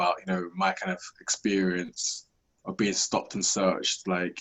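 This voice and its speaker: Fairly quick delivery in a flat, monotone intonation. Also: man. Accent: London. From South East London, England. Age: 30s. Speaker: podcast host. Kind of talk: interview.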